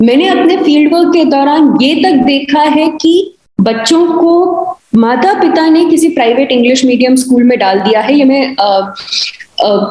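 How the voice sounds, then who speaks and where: A woman with a Himachali accent speaks at a high pitch with lively intonation and a dark, mellow tone. Audible room echo surrounds her voice. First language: Kangri (speaking Hindi). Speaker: university professor. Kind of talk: panel discussion. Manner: frequent hesitation fillers.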